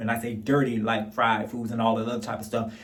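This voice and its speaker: Audible room echo fills the space. The man's pace is fairly quick. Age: 40s. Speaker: YouTube commentator. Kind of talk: casual commentary vlog. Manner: rambling with many fillers.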